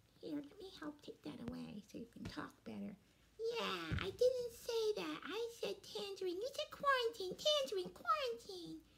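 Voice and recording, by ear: A woman performs a put-on character voice. She talks at a fairly slow pace.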